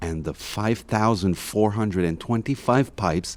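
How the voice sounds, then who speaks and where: Here a man speaks in an ordinary speaking voice with a fairly low pitch. His intonation is lively, and his pace is moderate. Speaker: audio guide narrator. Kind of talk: scripted narration. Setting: inside a basilica.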